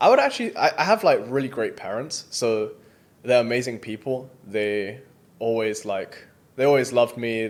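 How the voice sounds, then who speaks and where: Speaking with a British accent, a man keeps a moderate pace, a medium pitch and fairly even intonation. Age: 20s. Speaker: entrepreneur. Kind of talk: interview. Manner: casual, hesitant with fillers.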